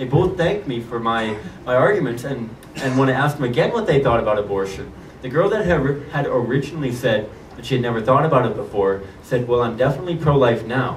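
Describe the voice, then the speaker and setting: A man rushes along at a very fast pace with ordinary pitch variation, amid audible room echo and noticeable background noise. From British Columbia, Canada (Victoria). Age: 20s. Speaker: pro-life activist. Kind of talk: testimony.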